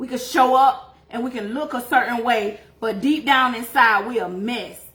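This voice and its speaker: A woman speaks at a high pitch with ordinary pitch variation and big swings in loudness over noticeable background noise. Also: moderate pace. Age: 40s. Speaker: faith and beauty livestreamer, life coach. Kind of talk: testimony. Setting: livestream. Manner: casual, conversational.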